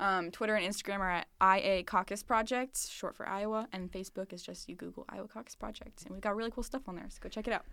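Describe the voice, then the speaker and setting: In an American accent, the speaker talks at a very fast pace with hardly any pauses, a bright, sharp tone, fairly even intonation and big swings in loudness, on a very clean recording with a silent background. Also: woman, medium pitch for a woman. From southern Missouri, Springfield. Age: 20s. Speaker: college student, social media manager. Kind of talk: casual interview. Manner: filler-heavy, laughs often.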